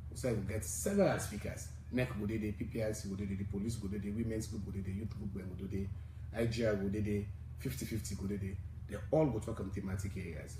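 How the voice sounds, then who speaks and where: A man talks very fast in a fairly low, somewhat breathy voice with a dark, mellow tone. His pitch varies in an ordinary way, and room echo is audible. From Sierra Leone. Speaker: civil society election coalition leader. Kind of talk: radio interview.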